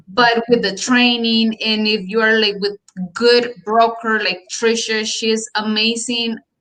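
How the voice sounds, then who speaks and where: A woman with a Colombian accent speaks at a fairly high pitch. Her pace is very slow and her intonation monotone and flat. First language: Spanish. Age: 30s. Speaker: real estate agent. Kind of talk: interview. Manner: halting.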